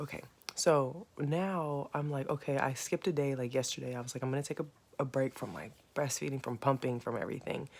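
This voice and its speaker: A quiet woman's voice, very deep and low in pitch, with ordinary pitch variation at a fairly quick pace. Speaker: vlogger, new mother. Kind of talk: casual vlog. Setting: at home next to sleeping baby. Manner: casual, filler-heavy; trying to speak quietly.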